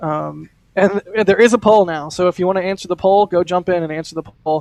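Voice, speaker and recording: The sound is dry and close with no echo as a man speaks at a fairly quick pace. His pitch is high, with ordinary variation. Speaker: livestream host for spaceflight news. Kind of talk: live commentary. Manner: fast.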